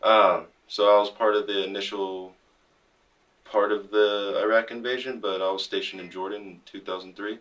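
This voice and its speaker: In a Californian accent, a man speaks at a fairly low pitch with monotone, flat intonation. His pace is moderate, and his loudness swings a lot. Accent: Californian American. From Modesto, California. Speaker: army veteran, veteran service officer, podcast co-host. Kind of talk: casual chat.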